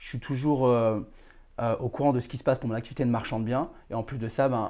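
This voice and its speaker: Monotone and flat, a man speaks at a fairly quick pace in a medium pitch with a dark, mellow tone. His loudness swings a lot on a very clean recording with a silent background. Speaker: real estate dealer and podcast host. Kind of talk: casual interview chat.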